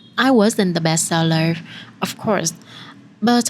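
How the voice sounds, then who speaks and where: There is noticeable background noise as a woman with a fairly low pitch talks at a moderate pace with ordinary pitch variation. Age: 20s. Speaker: photographer. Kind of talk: personal vlog narration.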